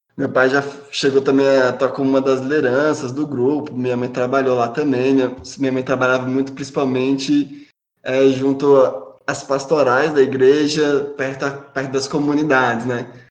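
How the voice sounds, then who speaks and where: In a room with audible echo, a man speaks at a moderate pace with a medium pitch and monotone, flat intonation. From Brasília, Brazil. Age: 30s. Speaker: podcast panelist. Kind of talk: personal testimony.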